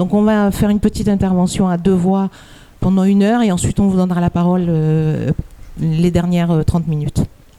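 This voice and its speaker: Fairly low in pitch and dark and mellow in tone, a woman speaks at a fairly quick pace with fairly even intonation and very even loudness. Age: 60s. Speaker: activist. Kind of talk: conference talk. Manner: halting.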